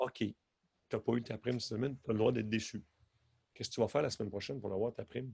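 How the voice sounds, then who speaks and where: Rushing at a very fast pace yet broken by long, frequent pauses, a man speaks at a medium pitch, somewhat breathy, with fairly even intonation in a dry, close sound with no echo. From Quebec. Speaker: hypnotherapist and stage hypnotist. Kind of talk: casual interview.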